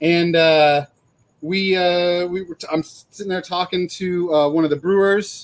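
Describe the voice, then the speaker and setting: This man has a high voice and a flat, monotone delivery. He talks fairly slowly, with big swings in loudness. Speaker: beer festival co-organizer. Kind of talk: casual chat. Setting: live video stream.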